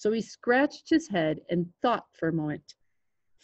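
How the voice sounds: Against a quiet background, the voice reads naturally.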